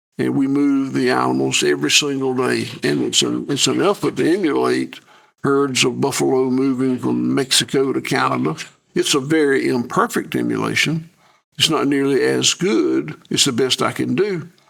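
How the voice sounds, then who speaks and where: The man talks at a moderate pace with very even loudness. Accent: Southern US. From US South. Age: 70s. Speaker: farmer. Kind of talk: interview. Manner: halting, repeats words.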